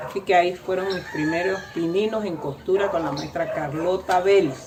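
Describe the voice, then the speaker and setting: A woman speaks at a moderate pace in a medium pitch, with audible room echo and noticeable background noise. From Panama, Antón (Coclé). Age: 80s+. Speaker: seamstress and cultural tradition bearer. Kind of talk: interview testimony. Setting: at her home.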